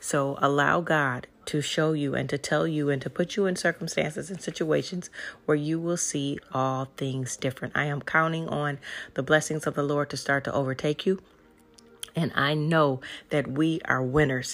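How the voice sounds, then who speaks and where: Speaking at a moderate pace, a woman uses a very deep, low pitch and fairly even intonation. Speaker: inspirational podcast host. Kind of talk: fervent spoken prayer and faith-filled encouragement, declaring blessings over listeners. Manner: urgent, emphatic exhortation with repeated declarations.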